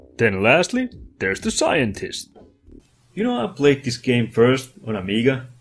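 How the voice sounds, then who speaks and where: A man at a medium pitch with very wide pitch swings and a fairly slow pace, music in the background. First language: not English. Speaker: retro game reviewer. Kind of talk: comedic video game review narration. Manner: animated.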